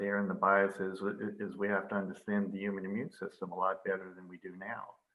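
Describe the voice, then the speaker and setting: A man with a normal speaking voice and a fairly low pitch talks at a fairly quick pace. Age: 60s. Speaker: vaccine research organization head. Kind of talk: interview.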